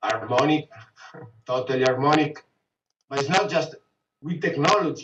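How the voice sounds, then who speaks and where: With an Italian accent, a man with a fairly high pitch and ordinary pitch variation talks at a moderate pace, leaving long, frequent pauses. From Italy, Venice. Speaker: businessman. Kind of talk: casual conversation.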